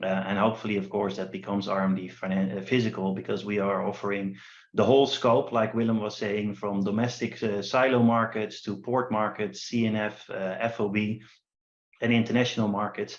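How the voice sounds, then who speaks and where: A man talks with a Dutch accent at a fairly quick pace. His pitch is fairly low and his intonation fairly even. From Netherlands. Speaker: company founder presenting a trading platform. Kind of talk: online workshop presentation.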